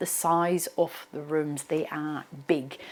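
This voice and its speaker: This is a woman talking. An Australian accent comes through. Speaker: real estate agent. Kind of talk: property tour presentation. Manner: animated.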